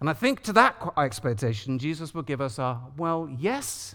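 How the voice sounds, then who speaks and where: At a fairly slow pace, a man speaks with a London accent. The recording is very clean, with a silent background. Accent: British (London). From London, England. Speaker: preacher. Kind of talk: sermon. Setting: church.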